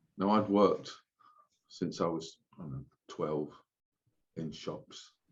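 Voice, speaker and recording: With a London accent, a man speaks at a fairly slow pace in a very deep, low pitch with ordinary pitch variation. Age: old. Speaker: oven cleaning franchisee. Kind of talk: interview. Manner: casual.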